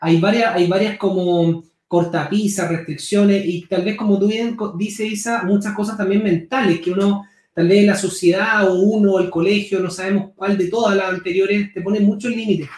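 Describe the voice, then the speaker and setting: A man talks at a moderate pace with hardly any pauses. His voice is high in pitch and flat in a monotone. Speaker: podcast host. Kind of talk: interview conversation.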